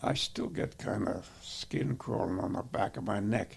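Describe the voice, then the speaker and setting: With vocal fry and very wide pitch swings, a man speaks at a very slow pace. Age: 80s+. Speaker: war veteran. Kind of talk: interview answer.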